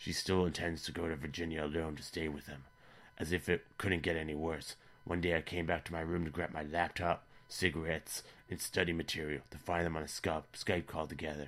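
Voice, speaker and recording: A man's put-on character voice, very deep, low and raspy, at a fairly quick pace in a monotone, flat intonation. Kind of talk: online story reading. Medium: read story. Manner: dry, sardonic.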